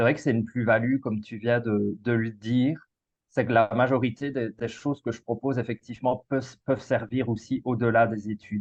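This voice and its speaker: Speaking at a moderate pace with a Belgian accent, a man keeps a medium pitch and a monotone, flat intonation. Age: 30s. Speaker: school coach. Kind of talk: casual interview. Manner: halting, frequent repetitions and fillers.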